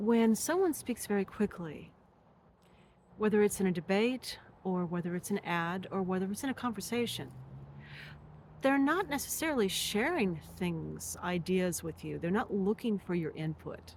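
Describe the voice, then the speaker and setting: Her voice is somewhat breathy. She speaks with lively intonation. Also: medium pitch for a woman. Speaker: spiritual teacher. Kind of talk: monologue to camera. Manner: slow; deliberate.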